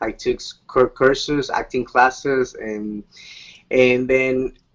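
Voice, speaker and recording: A man with a Spanish accent talks at a very slow pace, his loudness swinging widely. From Bolivia. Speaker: Latin music singer and actor. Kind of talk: interview. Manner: halting.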